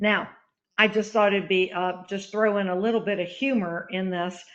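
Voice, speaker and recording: This woman has an unremarkable speaking voice, a medium pitch and fairly even intonation. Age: 60s. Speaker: author and pro-life activist. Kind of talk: webinar presentation. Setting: online webinar. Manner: casual, with filler words.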